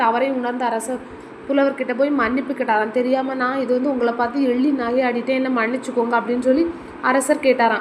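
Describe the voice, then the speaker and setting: Against noticeable background noise, a woman speaks in a high pitch with monotone, flat intonation. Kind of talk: bedtime story. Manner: soft-spoken; casual storytelling.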